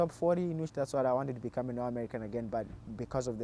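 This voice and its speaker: A man talks at a very fast pace with a Zimbabwean accent. His tone is dark and mellow. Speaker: college cross country runner. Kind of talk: interview. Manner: halting, many repeated words.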